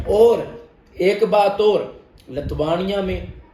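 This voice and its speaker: With a Punjabi accent, a man speaks at a high pitch and fairly even intonation, with audible room echo around him. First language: Punjabi (speaking Hindi). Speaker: immigration consultant. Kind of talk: informational explainer video.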